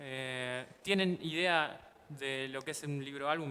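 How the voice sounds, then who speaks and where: A man speaks at medium pitch with a bright, sharp tone. His intonation stays fairly even. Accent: Argentine. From Argentina. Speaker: illustrator and comics artist teaching a workshop. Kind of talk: workshop teaching. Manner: halting, with fillers.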